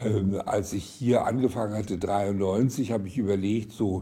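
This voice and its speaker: His voice is dark and mellow, somewhat breathy and fairly low, with ordinary pitch variation. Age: 80s+. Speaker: retired eye surgeon. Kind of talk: documentary interview, personal recollection. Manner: hesitant, with many fillers.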